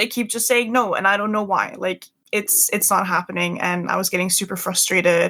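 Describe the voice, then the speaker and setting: Talking at a fairly quick pace with hardly any pauses, a woman shows ordinary pitch variation. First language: not English. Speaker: Twitch streamer. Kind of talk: casual interview.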